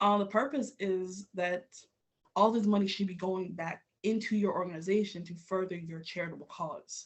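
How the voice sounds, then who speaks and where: Speaking at a fairly quick pace with an American accent, a woman uses a medium pitch, ordinary pitch variation and a somewhat breathy voice. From New York City (Queens). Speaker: business owner teaching a web class. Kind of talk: web class presentation. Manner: casual, filler-heavy.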